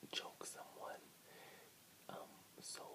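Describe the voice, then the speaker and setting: A man talks at a fairly slow pace. Loud background noise fills the recording. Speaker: vlogger. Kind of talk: casual vlog chat. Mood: animated movie talk. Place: home room. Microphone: earbuds.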